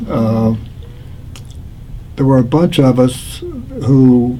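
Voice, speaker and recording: A man with an American accent and medium pitch, with audible room echo and noticeable background noise. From Pennsylvania. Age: 80s+. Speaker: war veteran. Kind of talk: oral history interview. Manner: halting.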